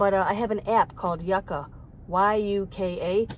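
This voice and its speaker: Recorded with a dry sound with no echo and light background noise, a woman speaks with ordinary pitch variation. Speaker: van dweller vlogger. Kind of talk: casual vlog chat. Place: car. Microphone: phone near.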